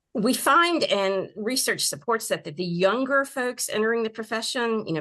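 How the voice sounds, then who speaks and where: Over a quiet background, a woman speaks at a moderate pace in a bright, sharp tone. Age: 60s. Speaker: mental health counselor. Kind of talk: interview.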